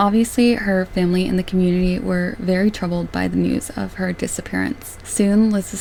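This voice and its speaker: A woman keeps a moderate pace while noticeable background noise plays around her. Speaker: true crime YouTuber. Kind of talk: scripted narration.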